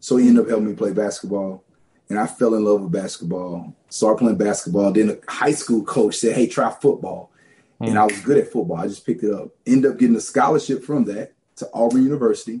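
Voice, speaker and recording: A man talks at a fairly quick clip in a Southern US accent, his tone dark and mellow. His pitch sits in the middle range and varies an ordinary amount. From rural Louisiana. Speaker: pastor. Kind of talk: testimony.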